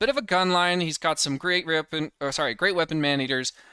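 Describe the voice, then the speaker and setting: A man talks fairly quickly at a fairly high pitch. He has a normal speaking voice. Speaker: gaming commentator. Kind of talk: casual game commentary over replay.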